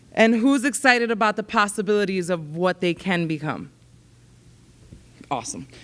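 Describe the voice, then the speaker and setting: With an American accent, a woman speaks at a medium pitch and a moderate pace. Her speech has long, frequent pauses. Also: lively intonation, very clean recording, silent background. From New York City, then New Jersey from age 14. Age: 30s. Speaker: nonprofit executive director. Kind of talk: keynote speech to students. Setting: stage with audience. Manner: loud.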